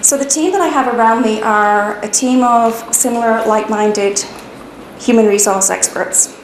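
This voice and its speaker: A woman speaks at a moderate pace with a fairly high pitch and ordinary pitch variation, with audible room echo and noticeable background noise. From UK. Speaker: HR consultant, business owner. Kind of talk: personal business narrative.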